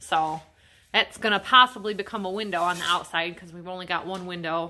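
A woman with a fairly low voice speaks at a moderate pace with fairly even intonation over light background noise. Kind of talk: casual vlog chat. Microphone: phone near.

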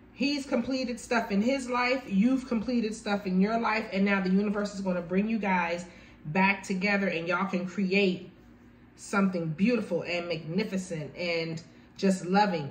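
A woman at a moderate pace with light background noise. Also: ordinary pitch variation. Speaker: tarot reader. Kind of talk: tarot reading commentary. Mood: warm, encouraging. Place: home room. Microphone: phone near.

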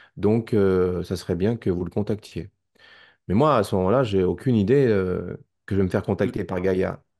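A man's fairly low, dark, mellow voice with a Parisian accent, at a moderate pace with ordinary pitch variation, over a quiet background. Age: 50s. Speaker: documentary maker and witness; witness. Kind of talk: testimony. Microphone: video call.

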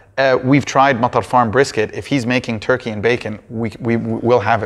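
A man talks at a fairly quick pace with hardly any pauses, in a normal speaking voice at a medium pitch, with fairly even intonation over a quiet background. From Canada (Ontario) and the Gulf. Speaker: smokehouse owner; interviewee. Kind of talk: interview. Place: meeting room.

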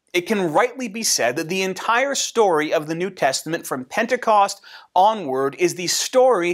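The pitch swings very widely against a quiet background. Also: man. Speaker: pastor. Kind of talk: sermon. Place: home room.

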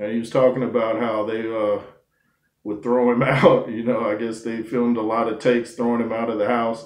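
A man with monotone, flat intonation at a fairly quick pace, amid audible room echo. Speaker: commentator. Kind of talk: casual commentary on a TV show. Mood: warm, reflective. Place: home room. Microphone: webcam.

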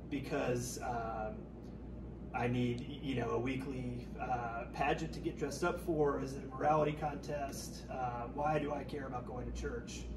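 Amid noticeable background noise, a man speaks at a fairly slow pace. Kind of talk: interview answer. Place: home room. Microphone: camera far.

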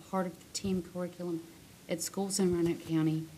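A woman's fairly low voice over music in the background. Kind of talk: formal reading of a resolution. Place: meeting room. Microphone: podium.

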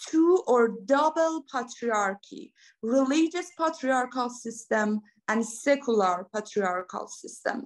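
Against a quiet background, a woman speaks very slowly at a high pitch with ordinary pitch variation. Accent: Persian. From Iran. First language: Persian. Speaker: academic researcher; panelist. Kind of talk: academic presentation. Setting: video call. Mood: earnest, engaged. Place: home room. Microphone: video call.

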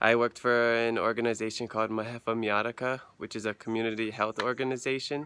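A man speaks in a monotone with flat intonation. The sound is dry, with no echo. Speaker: volunteer vlogger. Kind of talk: casual vlog chat. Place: street. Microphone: phone near.

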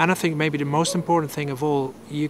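Over noticeable background noise, a man talks in a monotone, flat intonation with a dry sound and no echo. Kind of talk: interview answer. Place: garden.

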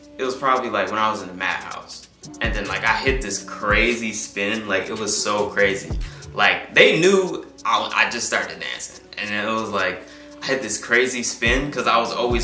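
The voice moves at a moderate pace, with clear music in the background. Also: man. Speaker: interviewee. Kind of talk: interview answer. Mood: relaxed, laughing at times. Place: studio.

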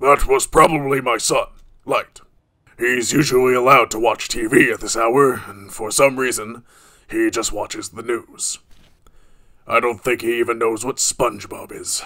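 This man talks at a medium pitch and moderate pace, leaving long, frequent pauses. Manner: exasperated, stern.

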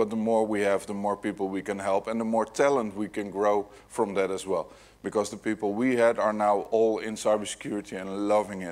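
A man talks at a fairly quick pace with a Dutch accent. His pitch is fairly low. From Netherlands. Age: 40s. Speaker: security hacker, keynote speaker; keynote speaker. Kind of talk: conference keynote talk. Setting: stage with audience. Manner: animated. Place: hall.

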